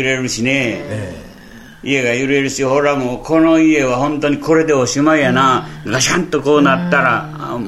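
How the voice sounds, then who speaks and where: Noticeable background noise and audible room echo are present. The man's intonation stays fairly even. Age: 80s+. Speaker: earthquake survivor. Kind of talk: testimony. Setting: interview at guest's town.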